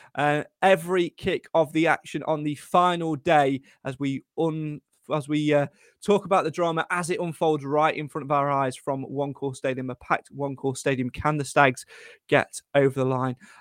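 A man with a normal speaking voice talks at a moderate pace with a fairly high pitch and fairly even intonation. The recording is very clean with a silent background and has a dry, close sound with no echo. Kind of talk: live football commentary. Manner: brisk, fluent play-by-play.

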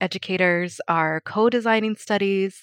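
Dry and close with no echo over a quiet background, a woman with a General American accent and a normal speaking voice talks at a fairly slow pace, in a medium pitch with fairly even intonation. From Colorado. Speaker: early learning research manager. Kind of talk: panel interview.

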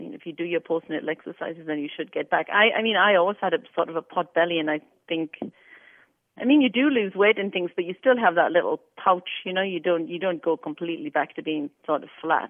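In a plain, everyday voice, a woman speaks at a fairly quick pace with a fairly low pitch and lively intonation. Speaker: host's mother. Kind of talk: casual chat.

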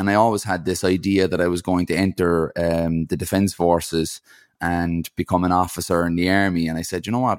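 Monotone and flat, a man with an Irish accent speaks at a fairly quick pace and very deep, low pitch on a very clean recording with a silent background. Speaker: ultra-endurance athlete and speaker. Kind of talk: casual interview.

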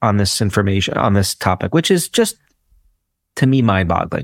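In an ordinary speaking voice, a man with an American accent talks at a fairly low pitch with ordinary pitch variation, the sound dry and close with no echo on a very clean recording with a silent background. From US, Brooklyn, New York. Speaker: psychology professor and author. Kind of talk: interview.

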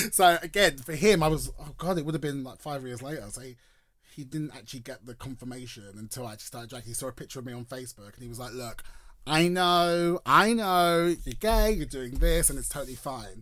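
Someone with a London accent speaks very fast in an animated tone, with lively intonation and big swings in loudness. The recording is very clean, with a silent background. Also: man, fairly high pitch for a man. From London, Enfield. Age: 30s. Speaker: drag performer. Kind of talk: casual chat. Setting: studio.

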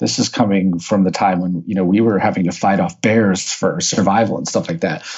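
A man talks at a fairly quick pace, barely pausing at all. His voice is fairly low, with a Midwestern American accent. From US Midwest, St. Louis, Missouri. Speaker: author and marketer, former accountant. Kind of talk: podcast interview.

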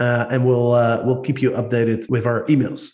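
The speaker is a man. He has a Dutch accent. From Netherlands. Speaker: podcast host. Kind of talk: casual podcast chat.

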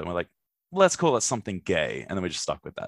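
A man speaks with an Australian accent in a dry, close recording with no echo, very clean against a silent background. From Brisbane, Australia. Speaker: comedian. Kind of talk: casual chat.

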